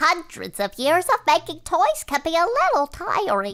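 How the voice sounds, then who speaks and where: Someone puts on a squeaky character voice and speaks at a moderate pace. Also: female-sounding voice, extremely high pitch for a woman. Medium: comedy sketch. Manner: fussy, gossipy.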